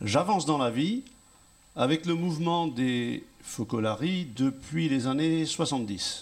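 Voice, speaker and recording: A man speaks at a very slow pace in a fairly high pitch with lively intonation. His loudness stays very even. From Brittany, France (Fougères). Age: 70s. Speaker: retired farmer and teacher. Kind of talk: testimony.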